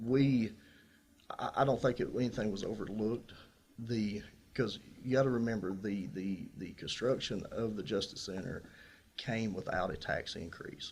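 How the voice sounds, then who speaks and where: A man with a Tennessee accent and a medium pitch speaks at a moderate pace, using fairly even intonation and long, frequent pauses. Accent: Southern US (Tennessee). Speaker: incumbent sheriff, political candidate. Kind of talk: political candidate forum answers. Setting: radio studio.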